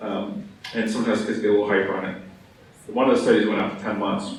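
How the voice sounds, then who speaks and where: Amid noticeable background noise and audible room echo, a man of medium pitch talks very fast with ordinary pitch variation. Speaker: physician. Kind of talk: conference talk.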